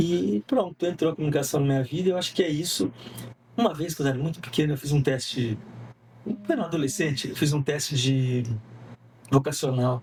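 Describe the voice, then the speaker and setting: Lively intonation marks this fairly quick delivery with a slight southern Minas Gerais accent. Long, frequent pauses break it up. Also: man, fairly high pitch for a man. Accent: slight southern Minas Gerais tinge. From interior of São Paulo state, near Minas Gerais border. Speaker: communication professor and semiotics researcher. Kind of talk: podcast interview.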